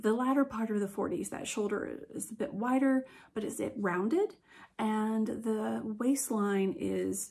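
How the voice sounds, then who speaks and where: A woman's fairly high voice with vocal fry, at a fairly slow pace. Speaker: museum educator. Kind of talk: educational talk to camera. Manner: casual, hesitant with fillers.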